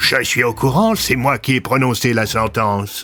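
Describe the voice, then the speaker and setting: Over clear background music, a man performs a put-on character voice at a medium pitch and a moderate pace. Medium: audio drama. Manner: measured, paternalistic.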